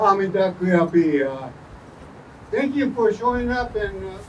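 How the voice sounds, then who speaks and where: A man's fairly slow delivery is heard with noticeable background noise behind it. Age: 70s. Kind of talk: short speech to a crowd. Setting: outdoors in park, rain. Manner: halting with many fillers.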